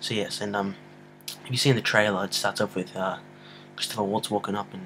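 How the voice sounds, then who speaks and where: A quiet, mumbling man with a fairly low pitch, fairly quick pace and monotone, flat intonation. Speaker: amateur movie reviewer. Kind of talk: casual vlog review. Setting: home at night, filming on a computer.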